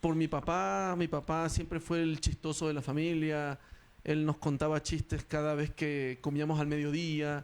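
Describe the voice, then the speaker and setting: An unremarkable speaking voice from a man, fairly slow in pace, with fairly even intonation and very even loudness, on a very clean recording with a silent background. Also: fairly high pitch for a man. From Ecuador. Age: 40s. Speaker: stand-up comedian. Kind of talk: interview.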